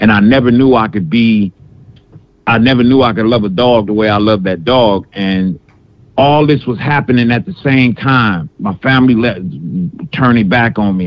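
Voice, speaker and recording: At a moderate pace, a man talks in a medium pitch with lively intonation. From Detroit, US. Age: 40s. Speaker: caller, military veteran. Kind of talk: phone call-in conversation. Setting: phone call.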